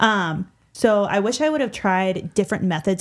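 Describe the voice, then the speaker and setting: Medium-pitched female voice, moderate pace, ordinary pitch variation, very clean recording with a silent background. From Illinois side of the St. Louis area. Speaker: veterinary student. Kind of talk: casual chat.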